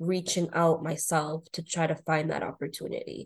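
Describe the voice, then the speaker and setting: A woman with an American accent speaks in an unremarkable speaking voice, her pitch fairly low and her intonation fairly even. The background stays quiet. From US Northeast, North Shore Boston area. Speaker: HR professional and career coach. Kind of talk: interview.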